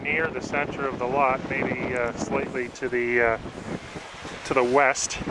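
Loud background noise sits behind a man whose voice is dry, with no echo. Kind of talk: property tour narration. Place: open country. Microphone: phone near.

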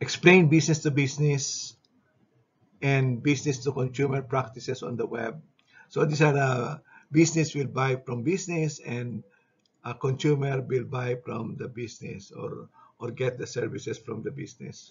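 A man's somewhat breathy voice at a moderate pace with fairly even intonation. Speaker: instructor. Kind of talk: lecture. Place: home room. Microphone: webcam.

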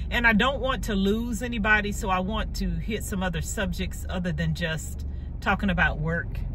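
Talking at a fairly quick pace, a woman comes through with noticeable background noise and a dry sound with no echo. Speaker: vlogger. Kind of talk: casual vlog chat. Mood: relaxed, friendly. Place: car. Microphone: phone near.

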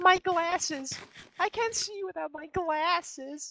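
This is a put-on character voice with an extremely high pitch. It moves at a fairly slow pace. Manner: panicked whiny.

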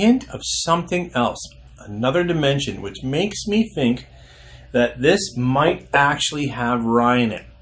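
A man speaks at a fairly slow pace with lively intonation and a somewhat breathy voice. Light background noise sits behind him. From Alberta, Canada. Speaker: whisky reviewer. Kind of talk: casual review monologue; casual review chat. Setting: outdoors on a deck. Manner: halting, many fillers. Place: home room.

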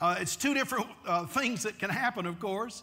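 A man's raised, projected voice with ordinary pitch variation, against a quiet background. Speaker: pastor. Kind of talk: sermon. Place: church. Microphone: lapel.

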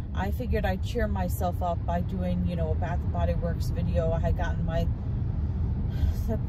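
A woman at a moderate pace in a dry sound with no echo, against loud background noise. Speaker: vlogger. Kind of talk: casual vlog chat. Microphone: phone near.

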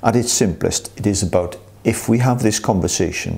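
Moderately paced, a man speaks with fairly even intonation. His tone is dark and mellow. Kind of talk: explanatory talk to staff. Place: office.

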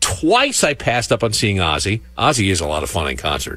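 A man's bright, sharp tone with vocal fry swings very widely in pitch, and the sound is dry with no echo. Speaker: radio DJ. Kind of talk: classic rock radio air check, DJ talk between songs. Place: studio. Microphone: studio mic.

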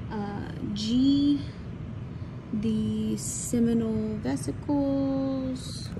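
A woman speaks with a very deep, low pitch and lively intonation at a very slow pace. Long, frequent pauses break it up, and background noise is noticeable. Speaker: college science instructor. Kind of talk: anatomy lab walkthrough. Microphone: phone near.

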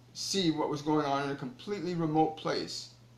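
Audible room echo surrounds a man speaking at a fairly quick pace. His pitch variation is ordinary. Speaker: spiritual teacher. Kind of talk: spiritual talk to viewers. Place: home room. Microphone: phone near.

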